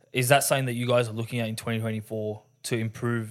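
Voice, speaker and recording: In a very clean recording with a silent background, a man with an Australian accent speaks at medium pitch. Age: 20s. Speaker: sports podcast host. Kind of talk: casual interview chat.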